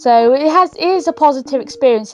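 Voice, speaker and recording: Music runs behind the speech. A woman's intonation is lively. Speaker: interviewee. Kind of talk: interview.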